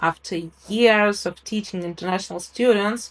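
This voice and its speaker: A woman's medium-pitched voice in a non-native accent, with ordinary pitch variation. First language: not English. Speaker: English teacher, program co-author. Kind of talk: interview. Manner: hesitant with fillers.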